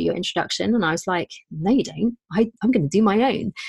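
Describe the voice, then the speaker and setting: In a British accent, a woman talks at a very fast pace with vocal fry and ordinary pitch variation, the sound dry and close with no echo. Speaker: podcaster. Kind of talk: casual chat. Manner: animated.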